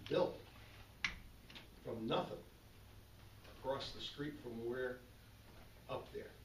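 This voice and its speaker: A man speaks with fairly even intonation. Noticeable background noise and audible room echo are present. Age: 70s. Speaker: board of finance member. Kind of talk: public meeting discussion. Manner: halting, repetitive.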